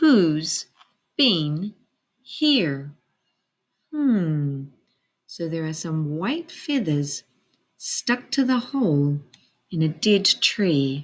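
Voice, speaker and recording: Very slow and somewhat breathy, a woman speaks with long, frequent pauses. Her pitch swings very widely. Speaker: teacher. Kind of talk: storytime read-aloud to children. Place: classroom. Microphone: webcam.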